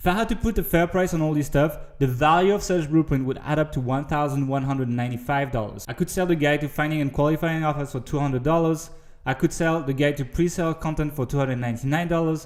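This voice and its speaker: Talking at a very fast pace with hardly any pauses, a man speaks in a French accent. His pitch is fairly high, with ordinary variation. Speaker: online marketing course seller. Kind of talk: sales pitch.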